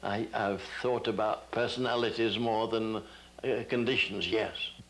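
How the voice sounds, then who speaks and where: Over noticeable background noise, a man speaks at a fairly slow pace and medium pitch, his intonation monotone and flat and his loudness very even. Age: 90s. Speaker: painter and scholar. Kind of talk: interview answer.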